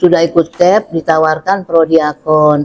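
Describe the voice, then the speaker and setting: Her fairly low-pitched voice has a dark, mellow tone, as a woman speaks at a fairly slow pace with fairly even intonation in a dry, close sound with no echo. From Jakarta, Indonesia. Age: 70s. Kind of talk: testimony.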